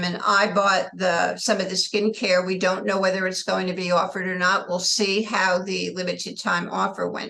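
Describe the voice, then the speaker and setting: Over noticeable background noise, a woman speaks at a moderate pace in a monotone, flat intonation, with hardly any pauses. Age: 70s. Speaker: network marketing distributor. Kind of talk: team call talk.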